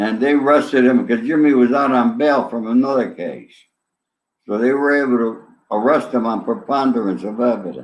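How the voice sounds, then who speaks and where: A man with a New York accent speaks at a moderate pace in a medium pitch. Room echo is audible. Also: ordinary pitch variation. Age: 70s. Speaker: ex-mobster. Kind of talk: interview.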